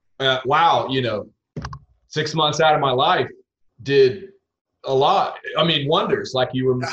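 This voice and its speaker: Pitched fairly high, a man's voice proceeds at a fairly slow pace. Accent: Texas. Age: 30s. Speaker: country singer. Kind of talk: casual interview chat.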